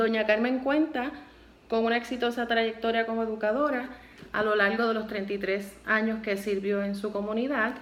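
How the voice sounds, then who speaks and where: A woman with an ordinary speaking voice keeps a moderate pace, a fairly high pitch and fairly even intonation. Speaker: university student interviewer. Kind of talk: interview questions.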